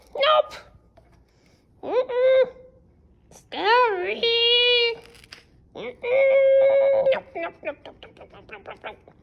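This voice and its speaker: A woman's cartoonish character voice at an extremely high pitch, fairly slow, with long, frequent pauses. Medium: puppet. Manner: exaggerated, dramatic.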